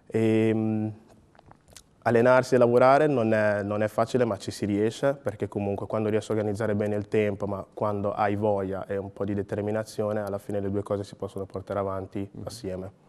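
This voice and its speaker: This man's voice sits at a fairly low pitch. The intonation stays monotone and flat. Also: fairly quick pace. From Ghana, then Emilia-Romagna from age 11. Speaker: sprinter and logistics worker; interviewee. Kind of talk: interview. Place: studio.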